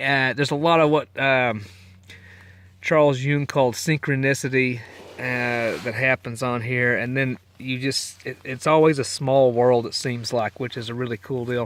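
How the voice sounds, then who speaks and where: A man with an American accent speaks at a fairly slow pace and a medium pitch. His tone is relaxed. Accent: Texas accent, coming back. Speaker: long-distance hiker, podcaster. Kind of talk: casual spoken trail diary. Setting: in a tent on the trail. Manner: relaxed, rambling with many fillers.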